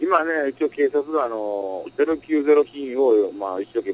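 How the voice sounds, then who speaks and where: A man with a fairly high pitch speaks at a fairly slow pace with lively intonation, in a dry, close sound with no echo, amid noticeable background noise. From Osaka, Japan. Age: 30s. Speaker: adult-entertainment business owner. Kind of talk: interview. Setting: home music studio.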